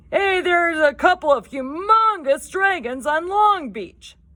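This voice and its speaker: The put-on character voice is gruff and extremely high-pitched, moving at a fairly slow pace. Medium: read story.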